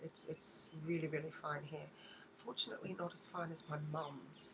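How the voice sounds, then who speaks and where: A woman with an Australian accent speaks at a very deep, low pitch. Her pace is moderate and her intonation monotone and flat. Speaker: beauty vlogger. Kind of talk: haul video, casual talk to camera. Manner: hesitant, many fillers.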